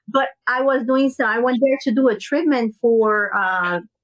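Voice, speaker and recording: Ordinary pitch variation in a woman's high voice. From Brazil. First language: Portuguese. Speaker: business owner. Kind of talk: podcast interview.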